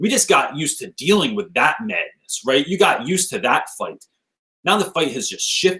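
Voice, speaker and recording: A man speaks in a raised, projected voice with a high pitch, an animated, bright and sharp tone, and lively intonation. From New Jersey. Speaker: teacher and author. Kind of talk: casual chat. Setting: video call from laundry room. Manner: fast.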